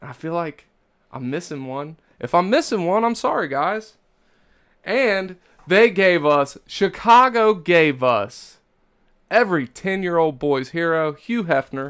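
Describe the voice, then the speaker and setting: Long, frequent pauses break up a man's fairly slow speech, which has a high pitch, lively intonation and big swings in loudness. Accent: slight Kentucky. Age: 30s. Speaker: podcast host. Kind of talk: casual comedic chat. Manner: animated.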